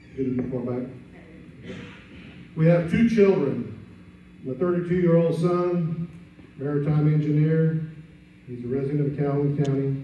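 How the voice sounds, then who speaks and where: A man with a fairly high pitch and a dark, mellow, somewhat breathy tone speaks at a moderate pace with ordinary pitch variation. He takes long, frequent pauses, and audible room echo surrounds his voice. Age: 60s. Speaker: political candidate. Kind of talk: candidate speech.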